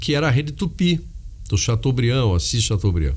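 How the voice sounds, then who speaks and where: A man's voice sounds somewhat breathy. His pitch swings very widely. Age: 60s. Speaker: media company executive. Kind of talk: interview. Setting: studio. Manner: halting.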